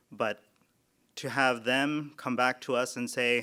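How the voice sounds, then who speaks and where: Bright and sharp in tone, a man's medium-pitched voice keeps a fairly even intonation. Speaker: MRI program director. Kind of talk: graduation speech. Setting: virtual graduation ceremony. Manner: monotone.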